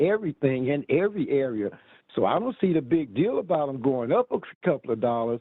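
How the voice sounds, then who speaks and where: At a moderate pace, a man talks in an ordinary speaking voice with lively intonation. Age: 60s. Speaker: consumer, military veteran. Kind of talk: public hearing testimony.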